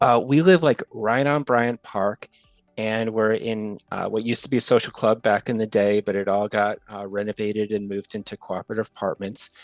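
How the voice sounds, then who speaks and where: A man with an American accent speaks in an ordinary speaking voice at a fairly low pitch and a fairly quick pace. His intonation is fairly even, and the sound is dry and close with no echo. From New York, Westchester County. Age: 60s. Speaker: retiring big data professional. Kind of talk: interview podcast chat.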